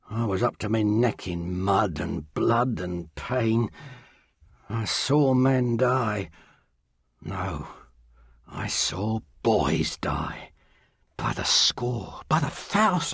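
A man puts on a raspy character voice at a medium pitch. He talks very slowly, with long, frequent pauses. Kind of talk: audio drama acting. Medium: audio drama. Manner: warm but bitter, earnest.

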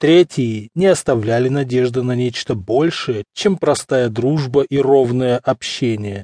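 Speaking at a very slow pace with hardly any pauses, a man uses a theatrical tone that is dark and mellow, at medium pitch with ordinary pitch variation. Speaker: audiobook narrator. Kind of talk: dramatic audiobook narration, period novel read aloud with voiced dialogue. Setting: studio. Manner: measured, theatrical, elegant storytelling pace with shifting character voices.

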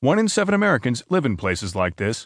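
Over a quiet background, a man speaks very fast with lively intonation and a dramatic tone. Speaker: audiobook narrator reading news. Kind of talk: formal newsreading. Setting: studio. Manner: formal, measured, steady newsreader delivery; clear and even-paced, lightly dramatic in quoted lines.

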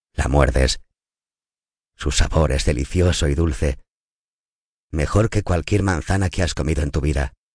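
A man with very deep, low pitch, vocal fry, and long, frequent pauses. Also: ordinary pitch variation, fairly slow pace. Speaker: audiobook narrator. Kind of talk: guided meditation.

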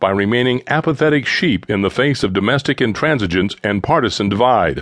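This is a man in a normal speaking voice. His intonation is lively. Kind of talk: audiobook narration of a political speech. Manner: formal, earnest and oratorical, with measured, sweeping delivery.

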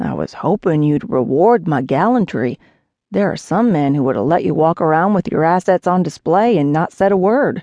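A woman puts on a character voice, drawling at a moderate pace with lively intonation and fairly low pitch, in a dry, close sound with no echo over a quiet background. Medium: read story. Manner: drawling, easygoing, teasing.

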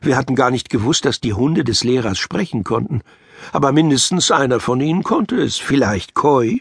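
A man speaks at medium pitch with lively intonation and a moderate pace. The sound is dry and close, with no echo. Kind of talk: audiobook reading of a children's story, narrated aloud.

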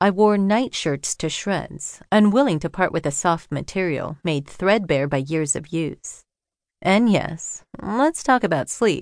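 Her unremarkable speaking voice, a woman's at medium pitch, moves at a fairly slow pace with lively intonation. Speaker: audiobook narrator. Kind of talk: audiobook narration, first-person memoir read aloud. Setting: studio. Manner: measured, expressive, literary delivery with reflective pacing; warm, earnest, intimate.

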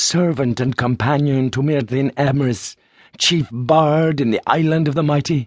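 A man talks at a moderate pace in a plain, everyday voice. His pitch varies in an ordinary way, and the background is quiet. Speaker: audiobook narrator. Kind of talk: dramatic audiobook narration of epic fantasy, first-person retelling. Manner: solemn, measured, declamatory, building to hushed suspense.

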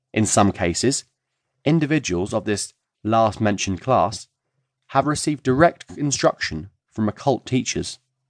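Against a quiet background with a dry, close sound and no echo, a man at a medium pitch talks at a moderate pace with lively intonation and long, frequent pauses. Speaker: audiobook narrator. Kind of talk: audiobook reading of a non-fiction self-help text, formal and expository. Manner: measured, formal, steady lecturing pace.

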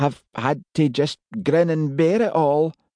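In a Scottish accent, a man speaks with a dark, mellow tone. The sound is dry and close with no echo, against a quiet background. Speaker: audiobook narrator. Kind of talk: audiobook narration; elderly woman telling her family history in Scots dialect.

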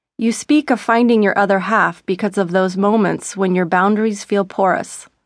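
A woman talks at a moderate pace in an ordinary speaking voice of medium pitch. Her intonation is fairly even, and the background is quiet. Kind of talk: audiobook narration, reading a self-help book aloud. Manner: gentle, flowing, expressive reading.

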